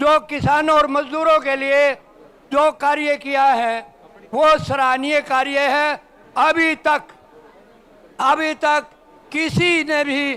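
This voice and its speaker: A man's raised, projected voice at an extremely high pitch, monotone and flat, with long, frequent pauses. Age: 70s. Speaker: community elder. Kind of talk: public speech at ceremony.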